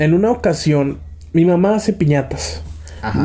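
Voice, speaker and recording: A man with a dark, mellow tone speaks at a moderate pace, sounding somewhat breathy. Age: 20s. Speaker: podcast host. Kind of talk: casual chat.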